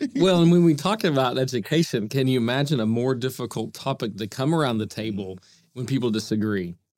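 A man with an American accent and an unremarkable speaking voice, lively intonation and a fairly quick pace, on a very clean recording with a silent background. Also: medium pitch for a man. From Oklahoma City. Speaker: nonprofit foundation leader. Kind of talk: casual interview.

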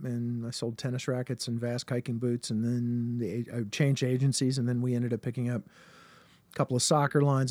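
On a very clean recording with a silent background, a speaker with an American accent talks at a very fast pace in a dark, mellow tone. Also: man. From US South, Richmond, Virginia. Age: 50s. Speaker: musical comedian. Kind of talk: casual chat.

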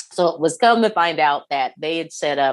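A woman with an American accent speaks at a fairly quick pace with ordinary pitch variation against a quiet background. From Indiana, US Midwest. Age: 30s. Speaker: podcast host and run coach. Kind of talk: casual chat.

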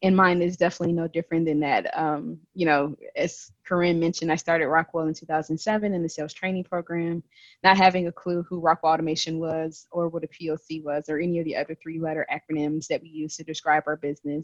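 Speaking in a monotone, flat intonation with an American accent, a woman with a fairly low pitch moves at a fairly quick pace with hardly any pauses and big swings in loudness, the sound dry and close with no echo. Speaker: regional sales business lead. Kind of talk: casual chat.

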